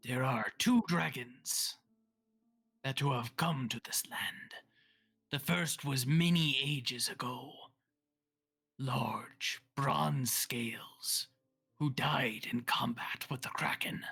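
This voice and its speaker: A raspy, put-on character voice sits at a low-to-middle pitch. It moves at a very slow pace with long, frequent pauses. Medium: actual play. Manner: guarded, formal.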